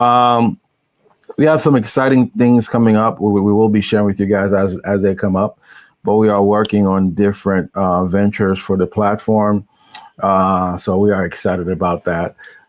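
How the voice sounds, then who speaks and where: In an unremarkable speaking voice, a man talks at a moderate pace with fairly low pitch, fairly even intonation and very even loudness. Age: 40s. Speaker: podcast co-host. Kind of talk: casual live-stream chat.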